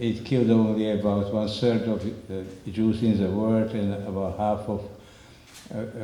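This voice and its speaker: A man talks with a fairly low pitch. Audible room echo surrounds his voice. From Slovakia, northern mountains. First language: Slovak. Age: 90s. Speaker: Holocaust survivor speaker. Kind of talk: public talk with slides. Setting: community center with audience. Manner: halting.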